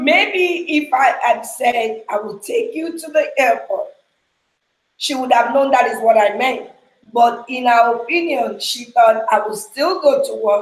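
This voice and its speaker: The speaker has a Nigerian accent and a fairly slow pace. The intonation is lively, and the loudness swings widely. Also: woman, high pitch for a woman. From Nigeria (Yoruba). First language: Yoruba. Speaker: ministry leader. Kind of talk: casual chat.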